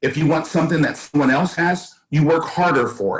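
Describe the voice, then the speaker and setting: Somewhat breathy, a man speaks with an American accent. His pitch is fairly high and his pace moderate. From US West Coast, East Oakland, California. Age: 60s. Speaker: school board candidate. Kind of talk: interview.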